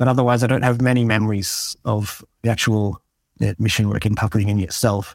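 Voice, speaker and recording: With an Australian accent, a man talks at a medium pitch with fairly even intonation and very even loudness. The recording is very clean, with a silent background and a dry, close sound with no echo. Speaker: software developer and mission volunteer. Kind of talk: interview.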